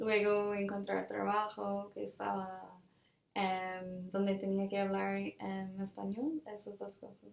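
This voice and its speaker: A woman speaks very slowly in an English accent. Her loudness swings widely. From Ireland, Cork. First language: English (speaking Spanish). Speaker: development worker. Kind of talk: interview. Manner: hesitant, many fillers.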